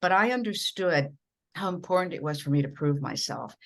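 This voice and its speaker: A woman with an American accent talking at a fairly quick pace with lively intonation over a quiet background. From rural Minnesota, US Midwest. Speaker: broadcast journalist and communications coach. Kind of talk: podcast interview. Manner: animated.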